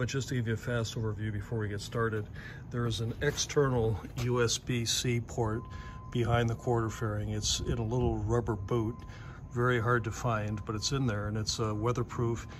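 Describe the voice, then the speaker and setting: A man's monotone, flat delivery at a moderate pace, with noticeable background noise. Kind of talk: tutorial. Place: garage. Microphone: phone near.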